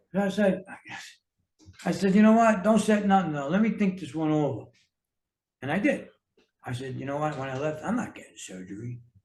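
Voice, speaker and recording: Speaking fairly quickly with an American accent, a man uses a high pitch, lively intonation and big swings in loudness, leaving long, frequent pauses in a room with audible echo. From New York City. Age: 60s. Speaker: health and fitness coach, author. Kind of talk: casual interview chat.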